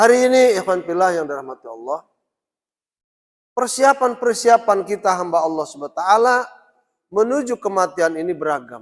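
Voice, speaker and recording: A man speaks at a high pitch with very wide pitch swings. Long, frequent pauses break up his speech. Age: 60s. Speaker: Islamic preacher. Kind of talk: religious lecture. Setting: mosque. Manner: halting.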